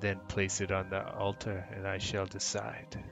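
Clear music plays in the background as a man puts on a gravelly character voice. His pitch is fairly low and his pace moderate.

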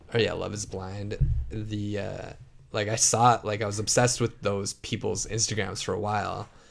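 Music plays in the background. The speech comes at a moderate pace with monotone, flat intonation. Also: man, fairly low pitch for a man. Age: 30s. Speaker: podcast co-host. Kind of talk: casual chat.

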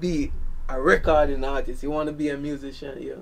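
His intonation fairly even, a man speaks with a Jamaican accent. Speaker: dancehall artist. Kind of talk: casual interview chat.

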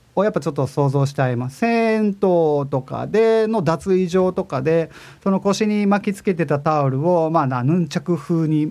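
In a normal speaking voice, a man talks at a moderate pace and fairly high pitch with lively intonation and big swings in loudness. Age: 40s. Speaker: podcast host and music composer. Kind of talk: casual web radio monologue. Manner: relaxed, laid-back.

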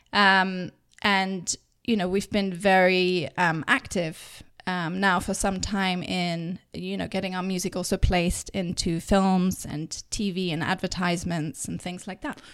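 Monotone, flat delivery from a woman with an English accent at a fairly slow pace, on a very clean recording with a silent background. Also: medium pitch for a woman. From England. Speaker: record label owner. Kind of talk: casual chat.

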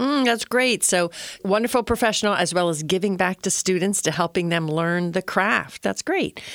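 A woman with an unremarkable speaking voice talks at a moderate pace and medium pitch, with ordinary pitch variation and very even loudness, on a very clean, silent, dry and close recording with no echo. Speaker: podcast host. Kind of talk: interview.

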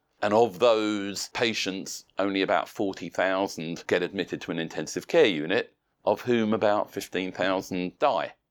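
A man with a British accent at a fairly slow pace, hardly any pauses and ordinary pitch variation, in a very clean recording with a silent background. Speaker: professor of intensive care and researcher. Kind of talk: interview answering medical questions.

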